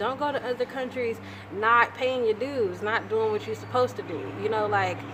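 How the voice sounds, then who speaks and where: A woman with ordinary pitch variation speaks fairly quickly while noticeable background noise carries on. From United States. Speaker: lifestyle vlogger. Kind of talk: casual storytelling monologue. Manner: casual, conversational.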